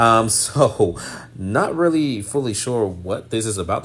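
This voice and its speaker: The speaker is a man with an American accent. His pitch is fairly low. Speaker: news anchor. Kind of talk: news explainer video. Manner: fast.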